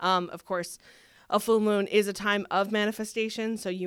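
The intonation is fairly even, and the recording is very clean with a silent background. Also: woman. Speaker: astrologer. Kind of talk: casual chat. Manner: fast talker.

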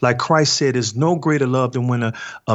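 A man with an American accent talks at a moderate pace and medium pitch, using ordinary pitch variation in an ordinary speaking voice. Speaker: author and nonprofit leader. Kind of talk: interview testimony.

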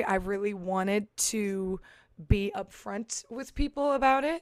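Recorded very cleanly with a silent background, a woman talks at a fairly slow pace with a fairly high pitch and ordinary pitch variation. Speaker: singer. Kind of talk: casual chat.

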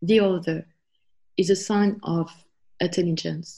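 A woman with a French accent speaks at a medium pitch, somewhat breathy, with fairly even intonation. The background is quiet. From France. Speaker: homeschooling mother. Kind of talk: interview.

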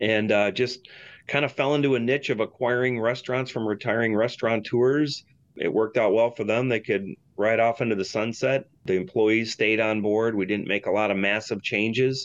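With a Michigan accent, a man talks at a fairly quick pace, his intonation fairly even and his loudness very even. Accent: Michigan (Inland North) American. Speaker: restaurant and hotel owner. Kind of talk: interview. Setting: studio.

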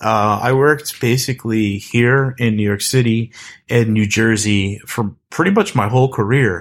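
A man speaks in an ordinary speaking voice at medium pitch and a moderate pace, with fairly even intonation and very even loudness on a very clean recording with a silent background. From US East Coast. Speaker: developer advocate. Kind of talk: casual chat.

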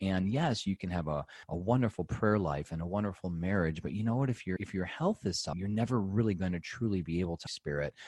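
Over a quiet background, a man with a very deep, low voice talks very fast with hardly any pauses and ordinary pitch variation, the sound dry and close with no echo. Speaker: chiropractor and natural health author. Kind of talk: interview.

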